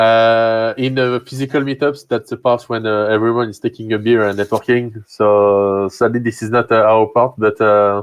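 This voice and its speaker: A man at medium pitch talks in a monotone, flat intonation with hardly any pauses. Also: moderate pace. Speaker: meetup host. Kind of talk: live stream Q&A and closing. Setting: online live stream. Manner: halting, many fillers.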